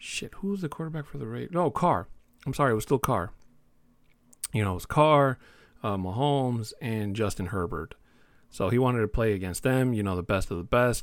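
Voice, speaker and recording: A man of medium pitch talks at a fairly quick pace. His pitch swings very widely, and he takes long, frequent pauses. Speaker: sports podcast host. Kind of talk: casual solo podcast talk. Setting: home recording, new room. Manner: laid-back with frequent fillers.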